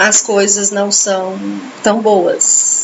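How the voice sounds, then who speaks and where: A woman talks at a medium pitch, her intonation fairly even, as noticeable noise sounds behind her. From Brazil, São Paulo/Minas/Goiás mix. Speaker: book club host. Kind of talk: reading aloud with commentary.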